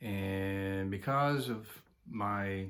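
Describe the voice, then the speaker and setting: There is audible room echo around a man speaking at a fairly low pitch. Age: 70s. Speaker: retiree vlogger. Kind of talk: personal monologue. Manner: halting, many fillers.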